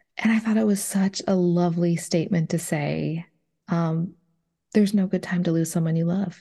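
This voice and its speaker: Against a quiet background, a woman with an American accent speaks at a moderate pace in a fairly low, somewhat breathy voice with a dark, mellow tone and fairly even intonation. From Minnesota. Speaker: podcaster. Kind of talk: interview.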